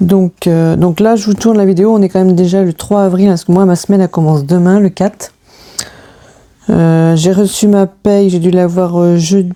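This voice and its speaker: Her medium-pitched voice stays monotone and flat, with very even loudness, as the woman speaks at a moderate pace. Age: 40s. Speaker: budgeting YouTuber. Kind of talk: casual vlog talk to camera. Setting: home, filming late at night. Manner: hesitant, many fillers (euh).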